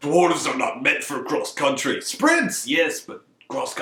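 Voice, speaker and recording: A put-on character voice speaks at a fairly slow pace. There is a slight echo. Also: man. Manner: gruff, growly.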